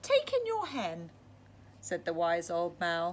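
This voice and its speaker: Someone in a put-on character voice speaks at a fairly slow pace over clear background noise. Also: woman. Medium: read story. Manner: calm, terse.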